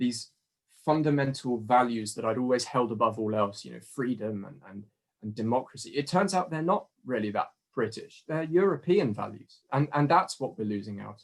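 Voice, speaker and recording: In a southern English accent, a man talks at a moderate pace with a medium pitch and lively intonation. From southern England. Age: 20s. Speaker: student. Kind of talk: testimony. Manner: halting.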